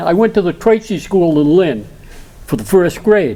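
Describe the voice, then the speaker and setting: The speaker's intonation is lively, delivered in a Boston accent. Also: man. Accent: Boston-area New England. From Massachusetts, Saugus. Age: 80s+. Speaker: local historian speaker. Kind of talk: community presentation. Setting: studio with audience.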